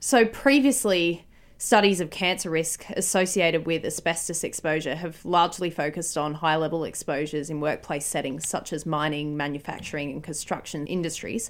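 This woman has an unremarkable speaking voice, fairly low in pitch with ordinary pitch variation, moving at a fairly quick pace with hardly any pauses. The recording is very clean, with a silent background. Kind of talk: radio presenter patter, back-announcing a song and promoting the station. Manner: bright, polished, clearly enunciated, upbeat; smooth, brisk station-ID delivery.

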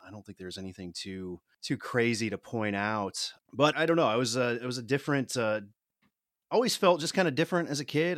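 The sound is dry and close, with no echo. This man keeps a moderate pace. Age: 30s. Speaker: political activist, former mayoral candidate. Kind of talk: interview, personal testimony. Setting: remote call across the Atlantic.

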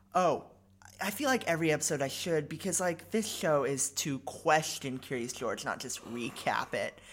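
A woman speaks at a moderate pace in a very deep, low voice. Her intonation is lively. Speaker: podcast co-host. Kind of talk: casual chat. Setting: barn loft. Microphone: cheap equipment with occasional glitches.

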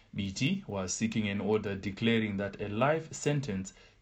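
Somewhat breathy and fairly low in pitch, a man talks at a moderate pace with ordinary pitch variation. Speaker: newsreader. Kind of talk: news reading. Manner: formal, steady, measured newsreader delivery.

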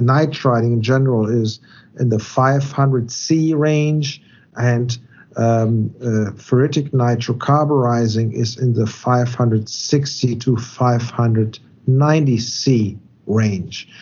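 In a German accent, the speaker goes at a very slow pace with very even loudness and fairly even intonation. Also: man, medium pitch for a man. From Germany. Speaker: metallurgist consultant. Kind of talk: technical interview. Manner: halting, many fillers.

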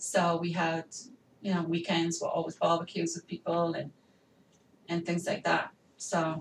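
A woman with an American accent speaks fairly slowly in a somewhat breathy, fairly low voice, her intonation monotone and flat, with long, frequent pauses. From England. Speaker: podcast guest, wife of the host.

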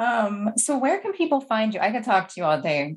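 Lively intonation marks this somewhat breathy voice. The pace runs fairly quick. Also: woman. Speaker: podcast host. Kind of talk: casual interview chat. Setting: remote call.

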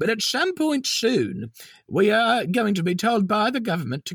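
This man's voice sits high for his sex, moving at a moderate pace with lively intonation, recorded dry and close with no echo. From Melbourne, Australia. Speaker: comedy podcast host playing an elderly granny character. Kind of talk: comedy podcast banter in character. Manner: chatty, warm, bubbly, playful.

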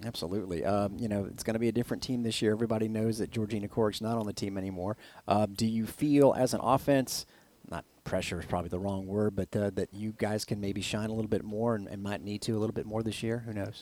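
With an American accent, a man speaks very fast in a fairly low voice with a dark, mellow tone and fairly even intonation, on a very clean recording with a silent background. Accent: Southern, comes out at times. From Florida, Plant City. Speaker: sports radio host. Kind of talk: interview.

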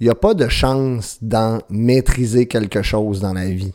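A man with a Quebec accent and a medium pitch speaks at a fairly slow pace on a very clean recording with a silent background. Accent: Québécois French. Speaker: podcast host. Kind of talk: motivational monologue. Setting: at home with baby nearby.

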